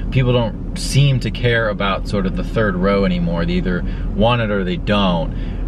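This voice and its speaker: Noticeable background noise surrounds a man speaking at a moderate pace. The sound is dry, with no echo. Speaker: car vlogger. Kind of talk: casual vlog chat. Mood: relaxed, enthusiastic. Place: car. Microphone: phone near.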